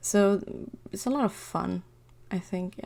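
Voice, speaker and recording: A woman speaks with a non-native accent. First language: not English. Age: 20s. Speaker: digital artist. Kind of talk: casual drawing commentary.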